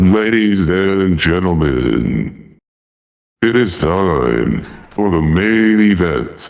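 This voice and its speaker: Using a booming put-on character voice, a man speaks very slowly at a very deep, low pitch. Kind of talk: announcer voice.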